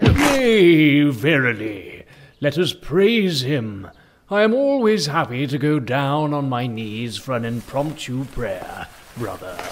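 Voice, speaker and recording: A man with a fairly high pitch speaks at a fairly slow pace. His pitch swings very widely. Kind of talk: mock-biblical preaching. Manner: unctuous, sanctimonious.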